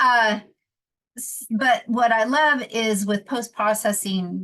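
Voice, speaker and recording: A woman speaks with ordinary pitch variation. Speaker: photographer and teacher. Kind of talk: tutorial. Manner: halting, many fillers.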